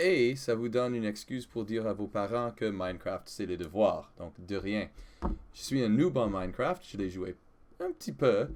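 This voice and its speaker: A man's medium-pitched voice, fairly slow, with lively intonation. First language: English (speaking French). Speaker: gaming video creator, French teacher. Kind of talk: let's play gameplay commentary. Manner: halting, with hesitations and self-corrections.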